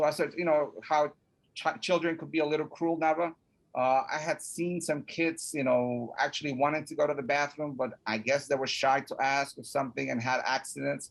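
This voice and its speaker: Fairly high-pitched male voice with a Spanish accent, fairly even intonation and a moderate pace. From Mexico (Puebla), raised in New York from age 9. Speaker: college student support office director. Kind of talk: personal story in interview.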